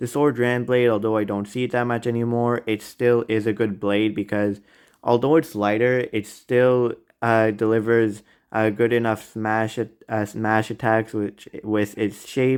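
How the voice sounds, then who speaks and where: A man speaks at a medium pitch and a fairly slow pace. His intonation is flat and monotone, recorded very cleanly against a silent background. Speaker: toy review youtuber. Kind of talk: product ranking commentary. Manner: halting, stuttering.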